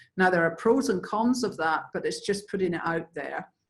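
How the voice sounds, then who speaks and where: At a moderate pace and fairly low pitch, a woman speaks with an Irish accent. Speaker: infection prevention presenter. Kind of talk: webinar presentation. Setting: online webinar.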